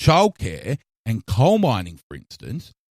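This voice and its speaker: A man speaks in an Australian accent at a fairly high pitch and moderate pace. His pitch swings very widely, and the sound is dry and close with no echo. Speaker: podcast host. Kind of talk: opinion monologue.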